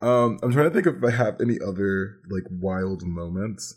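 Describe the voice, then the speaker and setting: A man with an ordinary speaking voice and fairly low pitch uses lively intonation at a moderate pace, on a very clean recording with a silent background. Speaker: Twitch streamer. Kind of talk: casual chat.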